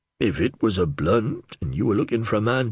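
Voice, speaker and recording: In a put-on character voice, a raspy man speaks at a moderate pace with very wide pitch swings. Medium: read story. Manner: respectful, knowing.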